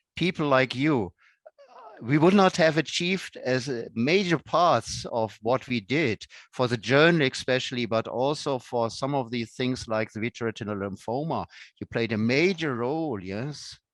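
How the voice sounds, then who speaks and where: Lively in intonation and medium in pitch, a man talks at a moderate pace in a dry, close sound with no echo. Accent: German. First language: German. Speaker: professor. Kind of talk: casual chat.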